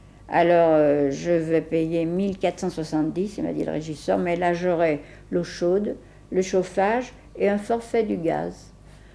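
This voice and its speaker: In a dark, mellow tone, a woman speaks at a fairly slow pace with a fairly low pitch and ordinary pitch variation. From France, Lyon (Croix-Rousse). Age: 70s. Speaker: elderly resident. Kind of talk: documentary interview. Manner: hesitant.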